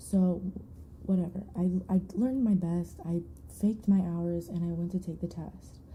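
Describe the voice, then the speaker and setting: A woman with an American accent speaks in a fairly low, somewhat breathy voice. Her tone is dark and mellow, with fairly even intonation. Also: moderate pace. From Michigan, US. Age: 20s. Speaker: ASMR streamer. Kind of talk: casual live-stream chat. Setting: live stream. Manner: rambling, distractible chat.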